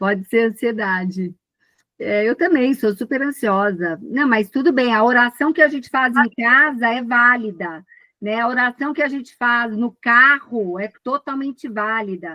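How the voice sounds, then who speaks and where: At a fairly slow pace, a woman with a Brazilian accent speaks at a high pitch with ordinary pitch variation. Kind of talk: casual spiritual chat in live video call. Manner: animated.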